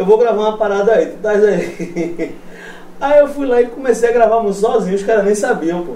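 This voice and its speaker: A man with a high pitch at a moderate pace, amid noticeable background noise. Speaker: metal band guitarist. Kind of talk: casual chat. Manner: casual slangy.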